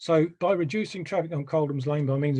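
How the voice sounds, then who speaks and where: This man speaks at a moderate pace in a dark, mellow tone that is somewhat breathy. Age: 60s. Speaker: residents association member. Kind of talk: presentation.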